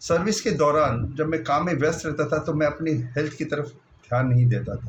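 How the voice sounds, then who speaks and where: The man's voice is somewhat breathy, and his pitch varies in an ordinary way. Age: 60s. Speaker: retired bank officer, diet program participant. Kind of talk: personal testimony.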